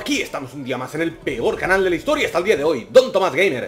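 A man speaks with a Spanish accent at a fairly quick pace. His pitch swings very widely, and there is noticeable background noise. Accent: Peninsular Spanish. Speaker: gaming youtuber. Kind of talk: gameplay commentary. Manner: animated.

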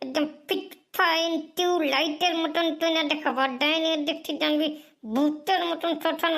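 A cartoonish character voice speaks at a moderate pace with fairly even intonation. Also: woman. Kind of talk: comic overacting. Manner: fast, rambling, stuttering.

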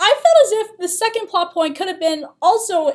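The woman's tone is animated and her pace moderate. The background is quiet. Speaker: college student vlogger. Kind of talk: casual vlog rant. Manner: animated, exasperated. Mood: exasperated critique. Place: meeting room. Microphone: webcam.

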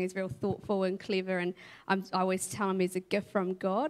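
A woman speaks at a medium pitch and a moderate pace. Her intonation is fairly even, and the background is quiet. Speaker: church member, mother. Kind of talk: testimony. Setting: church stage. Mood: reflective, warm, earnest. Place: stage. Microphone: handheld.

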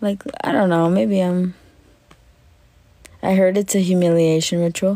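A woman speaks at a fairly slow pace with fairly even intonation. Her voice is fairly low, with a dark, mellow tone.

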